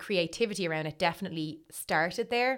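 A woman's fairly low voice is captured in a very clean recording with a silent background. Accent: Dublin. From Dublin, Ireland. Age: 30s. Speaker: writer and blogger. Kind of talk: casual interview chat.

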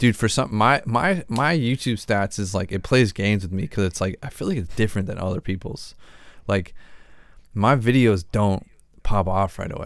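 A man with a plain, everyday voice speaks at a moderate pace on a very clean recording with a silent background. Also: fairly low pitch for a man, ordinary pitch variation. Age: 20s. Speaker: podcast host. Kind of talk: casual chat.

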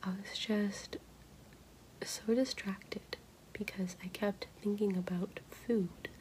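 Loaded with long, frequent pauses, the speech goes at a very slow pace over noticeable background noise. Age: 20s. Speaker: graduate student podcaster. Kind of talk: personal diary-style monologue. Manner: casual with frequent um fillers.

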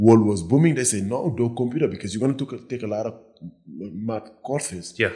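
A man speaks at a fairly quick pace with a somewhat breathy, dark, mellow tone. His pitch is medium, with ordinary variation. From Senegal. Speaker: fitness trainer. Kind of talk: casual interview.

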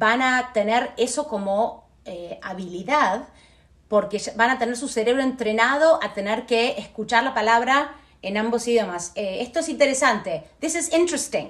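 A woman speaks at a fairly slow pace and a fairly high pitch. Her intonation is lively. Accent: Buenos Aires. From Argentina, Buenos Aires. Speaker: Spanish teacher. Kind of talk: casual interview.

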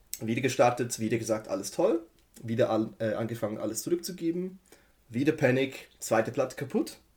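Somewhat breathy, a man speaks at a medium pitch and a fairly quick pace, with lively intonation. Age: 30s. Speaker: IT systems engineer. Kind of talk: casual chat.

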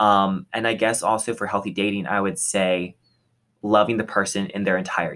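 Over a very clean recording with a silent background, a man speaks fairly quickly at a fairly low pitch, his tone bright and sharp and his intonation fairly even. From Texas. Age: young. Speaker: podcast co-host, college student. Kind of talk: casual chat.

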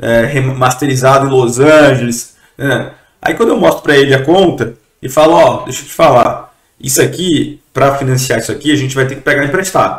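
A man talks at a moderate pace in a plain, everyday voice. His pitch is medium and his intonation fairly even. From Brazilian Northeast. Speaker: entrepreneur. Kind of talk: podcast interview.

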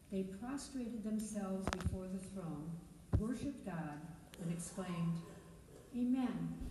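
Amid noticeable background noise, a woman at medium pitch speaks with ordinary pitch variation and long, frequent pauses. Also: fairly slow pace. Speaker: scripture reader. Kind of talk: reading aloud scripture.

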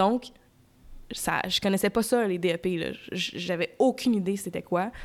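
Speaking at a very slow pace, a woman with a Quebec accent keeps her intonation fairly even. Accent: Québécois French. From Quebec (raised from age 10, born Ontario). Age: 20s. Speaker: podcaster. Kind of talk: personal monologue. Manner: hesitant, many fillers.

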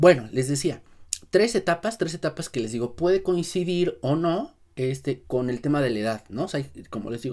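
Lively intonation runs through a man's normal speaking voice. He keeps a moderate pace. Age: 30s. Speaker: writing teacher. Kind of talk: tutorial.

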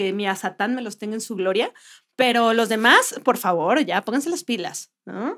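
Her voice is fairly high for a woman, a plain, everyday voice with lively intonation, delivered at a fairly slow pace. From Mexico, Puebla. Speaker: comedian and podcast co-host. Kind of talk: casual comedic chat.

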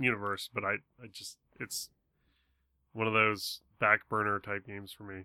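A man with a bright, sharp tone and fairly low pitch speaks at a moderate pace with monotone, flat intonation, big swings in loudness and long, frequent pauses, on a very clean recording with a silent background. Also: dry, close sound with no echo. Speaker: podcast co-host. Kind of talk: casual chat.

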